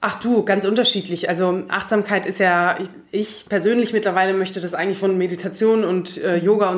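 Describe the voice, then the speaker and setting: Intonation here is fairly even. It's an unremarkable speaking voice at a fairly quick pace. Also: woman. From Germany, Munich. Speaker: coach and corporate manager. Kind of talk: interview.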